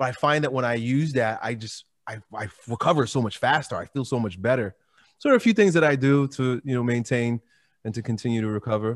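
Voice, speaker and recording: A man talks at a fairly quick pace with medium pitch and ordinary pitch variation. He has an ordinary speaking voice. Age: 40s. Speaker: fitness YouTuber and strongman. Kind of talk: casual chat.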